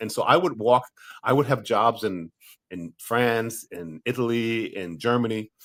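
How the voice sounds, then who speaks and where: A man with an American accent and an unremarkable speaking voice talks at a fairly slow pace at medium pitch, with ordinary pitch variation and big swings in loudness, in a dry, close sound with no echo. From USA. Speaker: actor. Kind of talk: interview.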